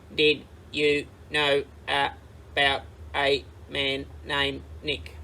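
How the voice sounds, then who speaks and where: A robotic put-on character voice at a very slow pace, over clear background noise. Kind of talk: lesson. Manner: syllable by syllable.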